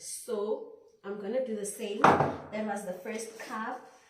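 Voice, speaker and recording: A woman with a South African accent at a fairly slow pace, audible room echo around her. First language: isiZulu. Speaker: student vlogger. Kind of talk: cooking tutorial vlog. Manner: animated.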